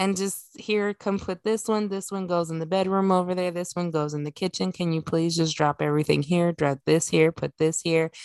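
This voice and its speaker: In a very clean recording with a silent background and a dry, close sound with no echo, a woman with a fairly low pitch speaks at a moderate pace with hardly any pauses. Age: 30s. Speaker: podcast co-host. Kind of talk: casual chat. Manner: animated.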